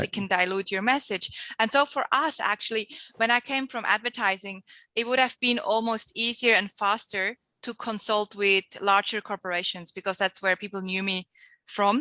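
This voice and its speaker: Recorded dry and close with no echo, a woman with a slight Swiss accent talks at a moderate pace in a medium-pitched, bright and sharp voice with fairly even intonation. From Switzerland. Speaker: entrepreneur and marketing mentor. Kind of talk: podcast interview answer.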